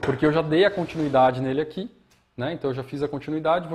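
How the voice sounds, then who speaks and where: A man speaks in a fairly high pitch. His voice is somewhat breathy. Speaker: bonsai teacher. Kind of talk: live demonstration tutorial. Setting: live stream from studio. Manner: fast.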